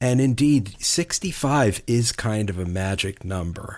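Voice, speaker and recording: In a very clean recording with a silent background, a man with a normal speaking voice and an American accent speaks at a fairly low pitch and fairly slow pace, with lively intonation. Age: 60s. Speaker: podcast co-host. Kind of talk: prepared presentation.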